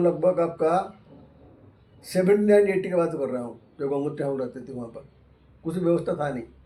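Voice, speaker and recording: A man speaks at a moderate pace. His voice is high in pitch. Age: 80s+. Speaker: ascetic monk. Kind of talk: interview.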